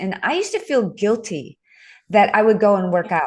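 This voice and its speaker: A woman has an unremarkable speaking voice with medium pitch and ordinary pitch variation. She talks at a moderate pace against a quiet background. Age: 60s. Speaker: author and fitness instructor. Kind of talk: podcast interview.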